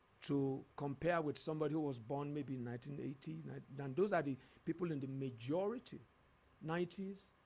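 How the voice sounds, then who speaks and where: A man speaks with lively intonation and a fairly high pitch. His voice is somewhat breathy. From Nigeria. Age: 60s. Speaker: leadership consultant. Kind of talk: TV talk show interview.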